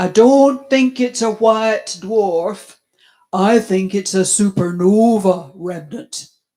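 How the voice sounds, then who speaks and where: This female-sounding put-on character voice uses a Yorkshire accent as part of the act. It is fairly high in pitch and very slow. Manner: blunt.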